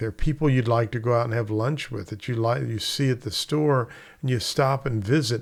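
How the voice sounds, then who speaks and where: This man talks at a moderate pace with a medium pitch, ordinary pitch variation and an unremarkable speaking voice. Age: 60s. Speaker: real estate instructor. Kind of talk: casual talk to camera. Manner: conversational.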